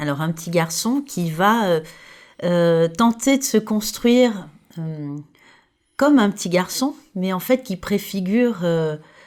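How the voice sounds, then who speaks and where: A woman talks at a medium pitch with lively intonation. She goes very slowly, with long, frequent pauses, in a very clean recording over a silent background. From France, Côte d'Azur. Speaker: podcast host. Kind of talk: interview.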